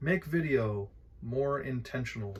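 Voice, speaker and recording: A man talks at medium pitch. His voice is somewhat breathy. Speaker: vlogger. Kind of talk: casual vlog monologue. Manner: hesitant, many filler words.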